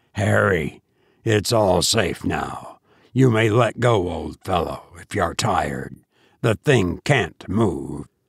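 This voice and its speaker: A man in a put-on, raspy character voice speaks at a very slow pace with a fairly low pitch and lively intonation. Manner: agitated but reassuring.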